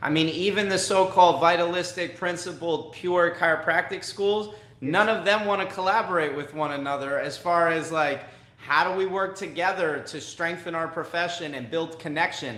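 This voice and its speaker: A man with an American accent speaks at a high pitch and a moderate pace, with fairly even intonation. Noticeable background noise and audible room echo surround him. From New York. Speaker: podcast host. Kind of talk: interview conversation.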